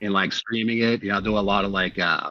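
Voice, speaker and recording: A man speaks at a fairly low pitch with monotone, flat intonation. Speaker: music producer. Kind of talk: casual chat.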